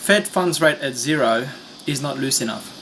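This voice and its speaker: Noticeable background noise sits behind a man speaking at a moderate pace with a non-native accent. His pitch is fairly high. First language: not English. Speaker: finance commentator. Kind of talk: video commentary. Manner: hesitant, many fillers.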